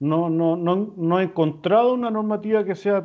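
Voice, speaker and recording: A man talks at a fairly slow pace. He speaks with a Chilean accent. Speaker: lawyer. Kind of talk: interview. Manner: hesitant, many fillers.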